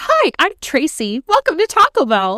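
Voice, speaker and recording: This put-on character voice sits at an extremely high pitch with very wide pitch swings. It moves at a moderate pace. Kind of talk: customer service voice. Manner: cheery.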